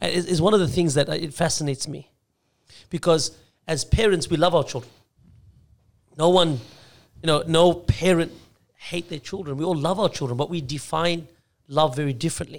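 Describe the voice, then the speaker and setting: Long, frequent pauses break up speech delivered in an Australian accent with ordinary pitch variation. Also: man, fairly high pitch for a man, fairly quick pace. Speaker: Islamic scholar, former imam. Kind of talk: casual chat. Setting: studio.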